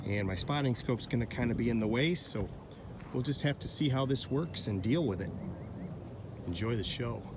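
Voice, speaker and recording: A man's somewhat breathy, medium-pitched voice at a fairly quick pace, with ordinary pitch variation and long, frequent pauses. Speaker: rifle shooter. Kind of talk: casual talk to camera. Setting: outdoors.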